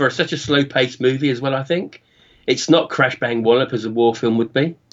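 With a British accent, a man talks at a fairly quick pace and medium pitch, using ordinary pitch variation. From UK. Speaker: podcast co-host, guest. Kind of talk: casual chat.

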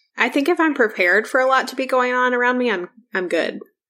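A woman speaks with a bright, sharp tone. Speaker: podcast host. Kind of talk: casual chat. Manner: soft-spoken.

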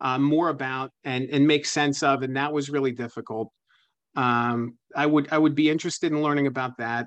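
An American-accented man at a fairly quick pace, monotone and flat, against a quiet background. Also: fairly high pitch for a man. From Pennsylvania. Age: 30s. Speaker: author and journalist. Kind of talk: interview.

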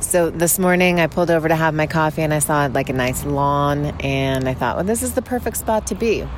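Noticeable background noise surrounds a voice moving at a moderate pace. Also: woman. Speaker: listener voicemail. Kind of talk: voicemail message. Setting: parked van by road.

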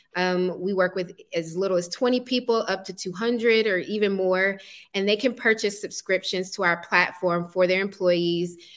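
A woman with an American accent speaks in an ordinary speaking voice at medium pitch and a moderate pace. Her intonation is fairly even, on a very clean recording with a silent background. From US South, Atlanta, Georgia. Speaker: artist and startup founder. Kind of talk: interview.

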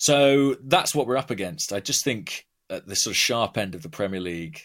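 Very wide pitch swings in a southern English accent. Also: man, very clean recording, silent background. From southern England, Watford. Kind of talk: casual chat.

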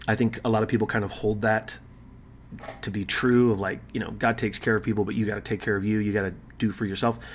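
A man talks very fast at a fairly low pitch. His intonation is flat and monotone. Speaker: podcast host, Bible teacher. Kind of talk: casual Bible teaching monologue. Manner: casual, with many fillers.

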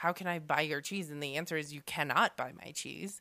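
A woman's husky, very deep, low voice carries a bright, sharp tone and fairly even intonation in a very clean recording with a silent background. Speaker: podcast host, farmer.

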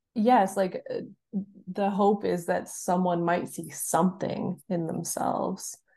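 In a Canadian accent, a woman speaks at a very slow pace and medium pitch, with a dark, mellow tone, vocal fry and monotone, flat intonation. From Canada. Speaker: writer and author. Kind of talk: casual interview chat.

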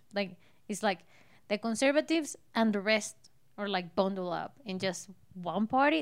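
A woman holds a medium pitch at a moderate pace, her pitch varying in an ordinary way. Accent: Spanish. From Colombia. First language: Spanish. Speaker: host's wife. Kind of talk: casual chat.

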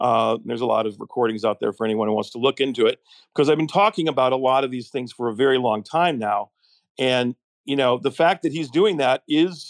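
A man talks at a fairly quick pace in a plain, everyday voice, medium in pitch with ordinary pitch variation. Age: 60s. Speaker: film director and podcast host. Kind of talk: casual chat.

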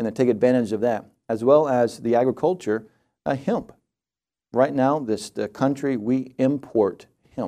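A man speaks at a medium pitch with a dark, mellow tone and ordinary pitch variation. He leaves long, frequent pauses. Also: moderate pace. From Georgia, Forsyth County. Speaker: state senator and gubernatorial candidate. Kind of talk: political interview. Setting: radio studio.

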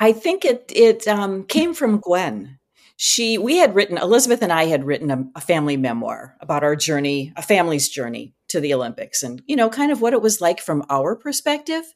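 With an American accent, a woman at a medium pitch speaks at a fairly quick pace with hardly any pauses, vocal fry and very wide pitch swings, on a very clean recording with a silent background. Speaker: retired choir teacher and author. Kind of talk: podcast interview.

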